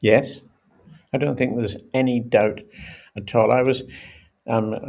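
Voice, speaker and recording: Speaking with a Scottish accent, a man uses a medium pitch, ordinary pitch variation and vocal fry at a fairly slow pace. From Scotland. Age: 80s+. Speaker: former rugby international. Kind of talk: podcast interview.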